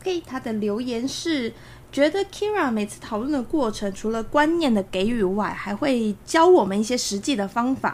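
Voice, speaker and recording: A woman's high voice moves at a moderate pace with very wide swings in pitch. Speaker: podcast editor. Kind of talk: casual chat. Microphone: far from the mic.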